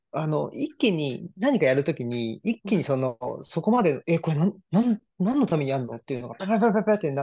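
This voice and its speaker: Over a quiet background, a man talks at a fairly quick pace with very wide swings in pitch. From Saitama, Japan. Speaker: private library owner and internet radio host. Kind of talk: casual interview conversation. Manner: hesitant, many fillers. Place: home room. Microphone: video call.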